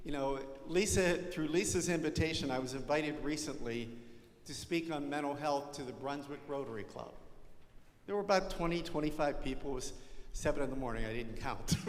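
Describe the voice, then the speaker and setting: Audible room echo colors a man's speech at a fairly quick pace. His pitch is fairly high, with ordinary variation. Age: 60s. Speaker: parish ministry leader. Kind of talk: parish presentation.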